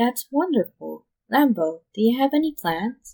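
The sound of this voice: A woman's put-on character voice, fairly high yet dark and mellow in tone, with big pitch swings, a fairly slow pace, a slightly husky edge, vocal fry, and dry, close sound with no echo.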